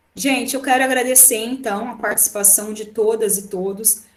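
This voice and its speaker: With audible room echo around her, a woman speaks at a fairly high pitch with ordinary pitch variation. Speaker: law professor. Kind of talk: online lecture. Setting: remote class via computer. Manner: fast.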